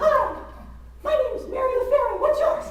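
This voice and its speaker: A squeaky, put-on character voice moves at a moderate pace, with clear echo and clear background noise. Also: man, extremely high pitch for a man. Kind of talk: comic storytelling speech. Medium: stage play. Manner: sassy, wisecracking.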